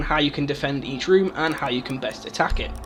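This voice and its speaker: Backed by music, a man speaks at a very fast pace. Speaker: gaming YouTuber. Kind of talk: game tutorial commentary. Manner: casual.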